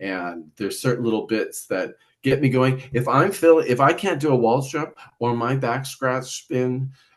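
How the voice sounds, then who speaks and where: A man speaks at a moderate pace with a medium pitch and ordinary pitch variation. He has an ordinary speaking voice. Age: 50s. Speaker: adult figure skater. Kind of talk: casual chat.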